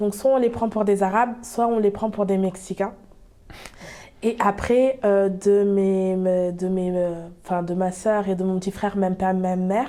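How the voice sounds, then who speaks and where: A woman talks at a fairly slow pace and a medium pitch. Her intonation stays fairly even. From France, Bordeaux. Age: 20s. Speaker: small business owner. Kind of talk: interview. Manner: hesitant, many fillers.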